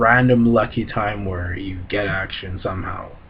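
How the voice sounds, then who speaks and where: A fairly low-pitched man at a fairly slow pace, with fairly even intonation and noticeable background noise. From city, then moved to suburbs. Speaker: vlogger. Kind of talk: casual rant to camera. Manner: hesitant, many fillers and repetitions.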